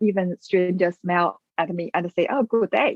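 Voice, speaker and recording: In a Chinese accent, a woman speaks at a medium pitch. Her pace is moderate and her pitch varies in an ordinary way. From China. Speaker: business owner, migrant. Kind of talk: interview. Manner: halting, many fillers.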